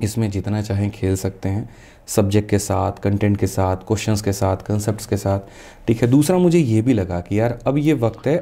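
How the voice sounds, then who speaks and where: A man talks at a moderate pace with a fairly low pitch and ordinary pitch variation. His tone is dark and mellow. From Bihar, West Champaran (Bettiah); Bihar. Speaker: maths teacher; teacher as podcast guest. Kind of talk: interview. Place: studio. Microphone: studio mic.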